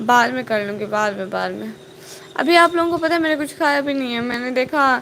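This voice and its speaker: Noticeable background noise runs under this recording. A woman talks at a moderate pace in a high pitch. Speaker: vlogger. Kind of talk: live stream chat. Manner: casual, chatty.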